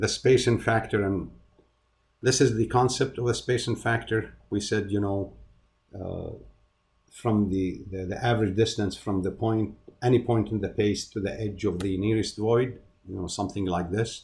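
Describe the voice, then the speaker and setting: There is audible room echo as a man talks at a moderate pace in a fairly low pitch. His voice is somewhat breathy, with fairly even intonation. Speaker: university lecturer. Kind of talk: lecture. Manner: halting, many fillers and repeats.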